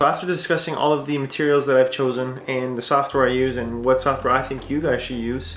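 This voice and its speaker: A man's medium-pitched voice at a very fast pace, fairly even intonation, with noticeable background noise and audible room echo. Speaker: vlogger. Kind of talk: tutorial. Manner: casual.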